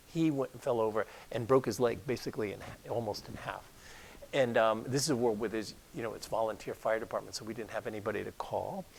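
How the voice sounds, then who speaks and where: Talking at a very fast pace, the man has a medium pitch and ordinary pitch variation. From Rhode Island, US (Newport). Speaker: doctor. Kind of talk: interview. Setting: talk before an audience.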